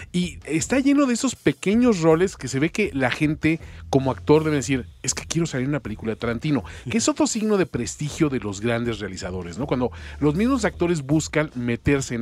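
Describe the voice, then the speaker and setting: His pitch rises and falls over a very wide range. The man keeps up a fairly quick pace. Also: medium pitch for a man. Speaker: radio host. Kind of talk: casual chat. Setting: studio.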